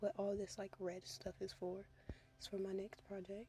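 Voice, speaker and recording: Soft-spoken, the voice keeps to a moderate pace. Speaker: doll repaint crafter. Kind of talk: voiceover tutorial. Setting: in a car. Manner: casual with many fillers.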